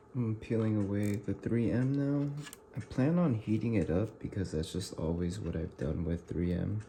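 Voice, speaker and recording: A man speaks quietly at a moderate pace, his pitch fairly low and his tone dark and mellow. His intonation is lively and his voice somewhat breathy. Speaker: motorcycle gear tutorial vlogger. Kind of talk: tutorial. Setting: at home at night. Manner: quiet, talking low.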